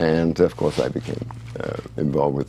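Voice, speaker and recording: With noticeable background noise behind him, a man talks at a very deep, low pitch. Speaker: author. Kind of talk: interview. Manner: halting.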